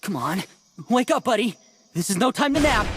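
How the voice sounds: A man performs a put-on character voice, extremely high and fairly bright. He moves at a moderate pace with big pitch swings.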